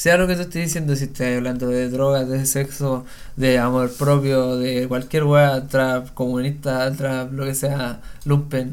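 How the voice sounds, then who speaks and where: A man talks at a medium pitch and moderate pace, with audible room echo. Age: 20s. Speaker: trap musician. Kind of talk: casual chat.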